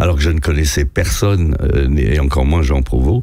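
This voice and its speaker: A man's intonation is lively despite noticeable background noise. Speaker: veteran radio host. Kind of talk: anecdotal storytelling in a radio interview. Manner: animated.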